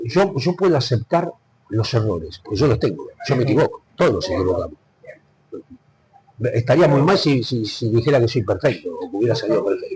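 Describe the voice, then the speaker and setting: At a fairly quick pace, a man talks with very wide pitch swings and long, frequent pauses. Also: medium pitch for a man. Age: 70s. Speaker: veteran sports commentator. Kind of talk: interview. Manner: animated.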